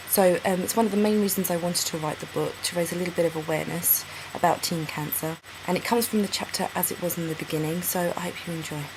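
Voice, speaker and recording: Background noise is clearly heard behind a woman whose voice is fairly low in pitch. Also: fairly even intonation. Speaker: author. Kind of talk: casual introduction to camera.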